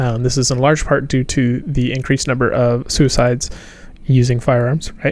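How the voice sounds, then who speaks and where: A man speaks in a plain, everyday voice with an American accent. His pitch is medium, his pace moderate and his intonation fairly even. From Appalachia, US South. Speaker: medical student. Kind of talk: casual group discussion.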